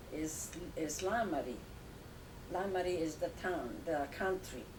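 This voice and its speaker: A fairly low-pitched woman with an Italian accent at a fairly slow pace, with ordinary pitch variation, noticeable background noise and audible room echo. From Italy, Tuscany near Lucca. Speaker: grandmother. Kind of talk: family interview. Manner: halting.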